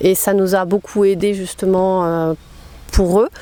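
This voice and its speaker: A woman talks at a very slow pace in a dark, mellow tone, the sound dry and close with no echo. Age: 50s. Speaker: naturism ambassador for women. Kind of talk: interview testimony. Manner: hesitant, many fillers.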